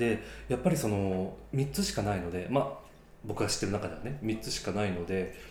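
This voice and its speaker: Fairly quick speech with ordinary pitch variation and audible room echo. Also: man, fairly low pitch for a man. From Japan, Yamaguchi Prefecture. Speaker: podcast host. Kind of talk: casual chat.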